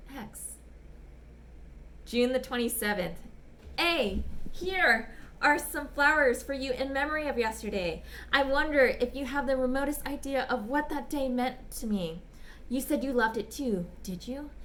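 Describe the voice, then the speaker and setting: A woman with a high pitch and ordinary pitch variation speaks at a moderate pace, leaving long, frequent pauses. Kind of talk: dramatic reading of a short story.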